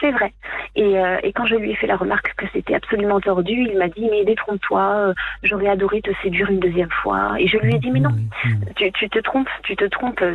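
With music in the background, a woman speaks fairly quickly at a medium pitch with ordinary pitch variation. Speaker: caller. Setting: phone call.

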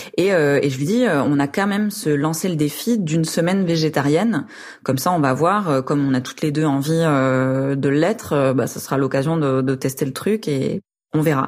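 Moderate pace amid noticeable background noise. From rural France. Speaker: urban gardener telling her story. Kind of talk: personal testimony. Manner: hesitant, many fillers.

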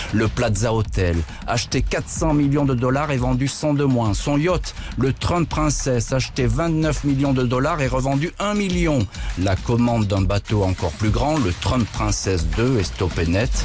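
A medium-pitched man with lively intonation and very even loudness, at a fairly slow pace over noticeable background noise. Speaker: radio host. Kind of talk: scripted narration; true-crime documentary narration. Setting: studio. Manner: grave, dramatic, measured storytelling tone; suspenseful, crisp narration.

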